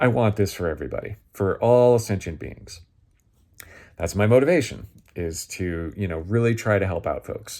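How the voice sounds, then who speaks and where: A man speaks at a fairly low pitch and a moderate pace, in a dark, mellow tone. The recording is very clean, with a silent background. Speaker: spiritual teacher, astrology and magic channel host. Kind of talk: casual instructional talk. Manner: halting, many fillers and restarts.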